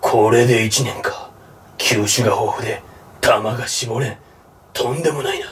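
In a raspy, cartoonish character voice of medium pitch, a man talks at a fairly slow pace with long, frequent pauses and audible echo. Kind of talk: anime dramatic acting. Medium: comedy sketch. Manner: terse, deep-toned gravitas.

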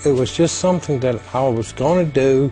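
Faint music plays behind a man with an American accent who speaks at a moderate pace in a medium pitch with ordinary pitch variation. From USA. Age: 60s. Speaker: Vietnam veteran, college football kicker. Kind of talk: interview answer. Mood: warm, reflective.

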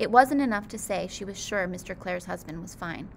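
With a natural reading voice, the speaker keeps the intonation lively.

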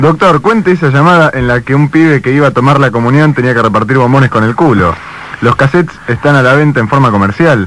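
A man with a fairly high pitch talks very fast with lively intonation and very even loudness, in a dry sound with no echo and light background noise. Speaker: radio host. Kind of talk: radio interview. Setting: studio. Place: studio.

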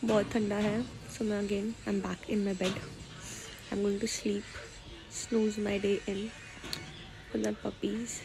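Woman's monotone, flat delivery at a fairly slow pace, with long, frequent pauses and clear music in the background. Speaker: vlogger. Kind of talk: casual vlog chat. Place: home room. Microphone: phone near.

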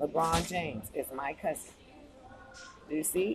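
A woman with an American accent and lively intonation, over noticeable background noise. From United States. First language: English (not Spanish). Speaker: YouTube vlogger. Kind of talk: casual screen-share commentary. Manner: animated. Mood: animated, opinionated. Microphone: phone near.

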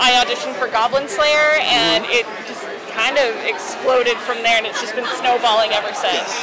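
A woman talks while noticeable background noise runs underneath. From Canada, Vancouver. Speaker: voice actress. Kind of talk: interview. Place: hall.

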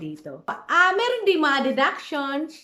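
A woman speaks with very wide pitch swings. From Philippines. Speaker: vlogger and caregiver. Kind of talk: casual vlog.

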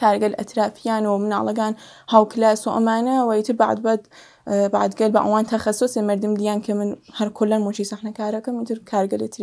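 Against a quiet background, a woman talks very fast in a fairly high voice with a dark, mellow tone. Her intonation stays monotone and flat. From Sanandaj, Iranian Kurdistan; Iranian Kurdistan. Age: 40s. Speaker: actor and film script supervisor; actor. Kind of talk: interview. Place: studio.

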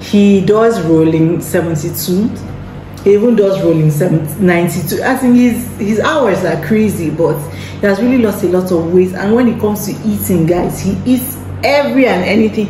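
In a room with audible echo and light background noise, a woman speaks at a fairly slow pace with ordinary pitch variation. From Nigeria. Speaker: lifestyle vlogger. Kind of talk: casual vlog to camera. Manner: animated. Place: home room. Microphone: phone near.

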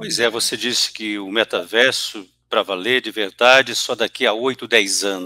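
Medium in pitch, a man's voice has a bright, sharp tone and lively intonation, recorded with a dry sound and no echo. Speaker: interviewer. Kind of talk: interview host. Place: studio. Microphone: headset.

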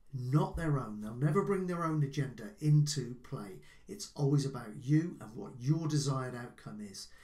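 The somewhat breathy voice moves at a moderate pace with ordinary pitch variation and big swings in loudness, over a quiet background. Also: man. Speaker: life coach. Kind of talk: advice talk to camera. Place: home room.

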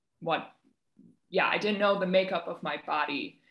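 The background is quiet. Some room echo can be heard. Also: woman. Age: 20s. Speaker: textile artist. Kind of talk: panel discussion. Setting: video call. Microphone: video call.

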